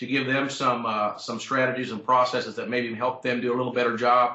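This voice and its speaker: A medium-pitched man at a fairly quick pace, with noticeable background noise. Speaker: champion auctioneer and convention speaker. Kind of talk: interview answer about presentations.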